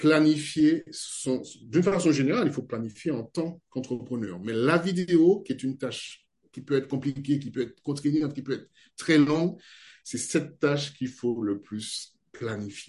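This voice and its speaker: A man speaks at a moderate pace in a fairly high, somewhat breathy voice whose pitch varies in an ordinary way. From French Guiana. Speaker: video editor and video trainer. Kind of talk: interview.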